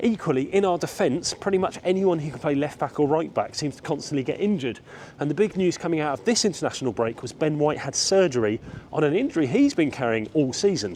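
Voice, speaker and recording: Speaking very fast with lively intonation, a man with an English accent uses a fairly high pitch. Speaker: football vlogger. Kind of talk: walking vlog match preview. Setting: outdoors walking around a stadium. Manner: casual, conversational.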